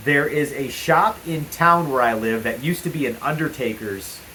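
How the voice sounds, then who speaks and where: This clip features a man talking. Noticeable background noise can be heard. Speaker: paranormal investigator vlogger. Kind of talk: casual vlog talk to camera. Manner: loud.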